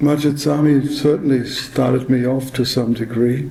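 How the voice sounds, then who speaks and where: Audible room echo surrounds speech with monotone, flat intonation. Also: man. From Germany, Lower Saxony. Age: 60s. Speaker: neurosurgeon. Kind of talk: acceptance speech. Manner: halting.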